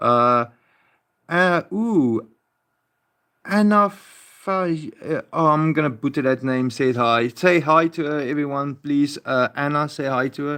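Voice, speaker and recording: Over a very clean recording with a silent background, a man speaks at a very slow pace. His fairly high voice has a bright, sharp tone and ordinary pitch variation. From South Africa. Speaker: live streamer. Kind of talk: casual live stream chat. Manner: halting, hesitant.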